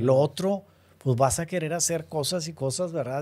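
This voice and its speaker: A dark, mellow tone at a fairly slow pace, with ordinary pitch variation. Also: man. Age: 50s. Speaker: real estate developer; podcast guest. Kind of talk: interview. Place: studio. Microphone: studio mic.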